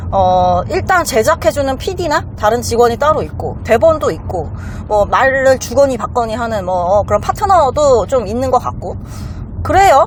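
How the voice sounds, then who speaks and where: Background noise is noticeable as a woman talks at a fairly quick speed. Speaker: lawyer. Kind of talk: casual chat.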